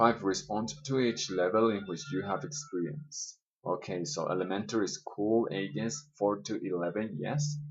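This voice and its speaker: Someone speaks in a Spanish accent at a moderate pace with lively intonation. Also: man. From Colombia. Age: 20s. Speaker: schoolteacher. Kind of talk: self-interview reading questions and answering. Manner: hesitant with fillers.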